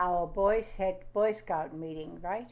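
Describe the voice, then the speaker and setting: A woman with a German accent, fairly low in pitch, amid audible room echo. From Germany. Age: 90s. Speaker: grandmother interviewee. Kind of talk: oral history interview. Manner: halting.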